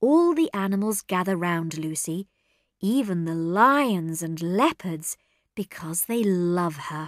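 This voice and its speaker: Speaking at a very slow pace, a woman uses lively intonation. The sound is dry and close with no echo, in a very clean recording with a silent background. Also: medium pitch for a woman. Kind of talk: children's story reading.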